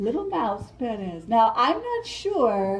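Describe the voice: Reading aloud, plain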